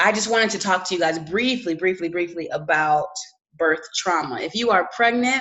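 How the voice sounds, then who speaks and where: A woman speaks with lively intonation. Her voice sits at a medium pitch. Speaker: mental health vlogger. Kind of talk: solo video talk on mental health. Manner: halting, many fillers and restarts.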